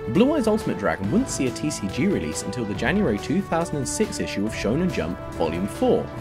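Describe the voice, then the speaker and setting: Music plays in the background while a man talks at a very fast pace. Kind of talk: trivia narration.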